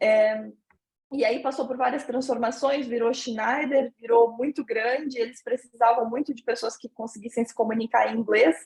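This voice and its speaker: A woman with a southern Brazilian accent speaks in a high pitch at a moderate pace, her intonation fairly even. Her loudness swings widely, and the sound is dry and close with no echo. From southern Brazil, Santa Catarina (Brusque). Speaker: interviewee, finance professional living abroad. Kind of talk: interview.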